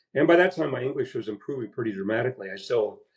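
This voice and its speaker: Speaking in a Midwestern US accent, the voice is somewhat breathy with ordinary pitch variation. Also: man. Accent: US Midwest. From Iowa, Des Moines. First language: Latvian. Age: 70s. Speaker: baseball historian. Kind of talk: interview.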